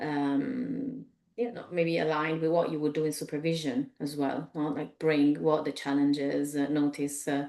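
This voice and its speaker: This woman has a very deep, low voice and speaks with an Italian accent. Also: ordinary pitch variation, moderate pace. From Italy. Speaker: executive coach. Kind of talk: webinar presentation. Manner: halting, many fillers.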